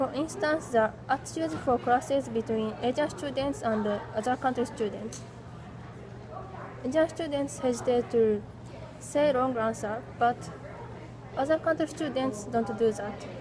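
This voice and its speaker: Against noticeable background noise, a woman with a Japanese accent and a high pitch talks at a moderate pace with ordinary pitch variation and long, frequent pauses. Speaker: English language student. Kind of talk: class presentation. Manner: halting.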